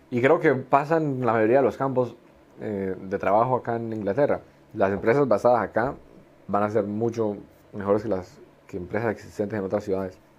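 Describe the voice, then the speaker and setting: A man speaks at a moderate pace with a medium pitch and ordinary pitch variation. It is an ordinary speaking voice. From Colombia. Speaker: engineer and fashion entrepreneur. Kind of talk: casual interview.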